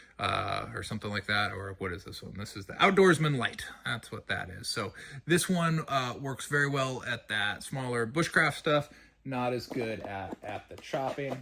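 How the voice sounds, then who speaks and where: With a Southern US accent, a man speaks at a moderate pace in a bright, sharp, medium-pitched voice with lively intonation. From US South. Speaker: knife reviewer, channel host. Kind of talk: casual show-and-tell review. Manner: halting, many fillers.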